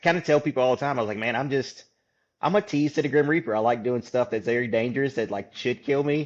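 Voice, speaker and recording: Talking very fast with a Louisiana accent, a man speaks at medium pitch with ordinary pitch variation. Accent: US Southern (Louisiana). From Louisiana, Baton Rouge. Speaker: podcast host, hunter and outdoor speaker. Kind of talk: casual chat. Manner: halting, many fillers.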